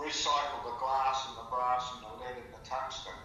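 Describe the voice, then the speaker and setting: With an Australian accent, a man talks at a moderate pace and medium pitch, with noticeable background noise and audible room echo. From Victoria, Australia. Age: 70s. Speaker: storyteller recalling his life. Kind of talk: casual storytelling chat. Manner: halting, many fillers.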